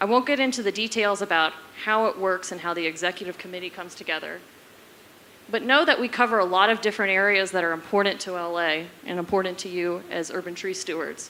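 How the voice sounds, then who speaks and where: A woman's bright, sharp voice at a medium pitch, ordinary pitch variation, and a very fast pace. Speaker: forest service program manager. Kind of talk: conference panel talk.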